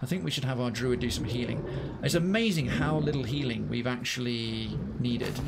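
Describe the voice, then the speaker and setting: A man speaks at a fairly quick pace. There is noticeable background noise and audible room echo. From northwest England (Liverpool area). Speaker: video game streamer. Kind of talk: live gameplay commentary. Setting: live stream. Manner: casual, chatty.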